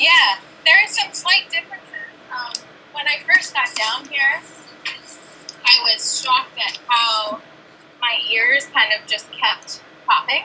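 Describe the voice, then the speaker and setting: A woman with a high pitch speaks in a raised, projected voice at a fairly slow pace, with long, frequent pauses, very wide pitch swings and noticeable background noise. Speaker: aquanaut marine science researcher. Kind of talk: interview. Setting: video call from underwater habitat.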